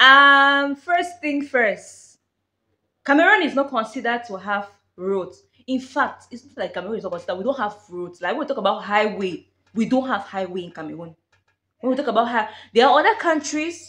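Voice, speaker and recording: At a fairly quick pace, a woman with a high pitch makes very wide pitch swings and big swings in loudness. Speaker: vlogger. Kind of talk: casual vlog chat. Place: home room.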